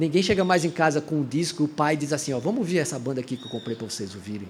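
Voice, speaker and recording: This man has a fairly high pitch and lively intonation. His pace is very fast. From Brazilian Northeast. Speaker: band musician. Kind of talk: casual chat. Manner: animated.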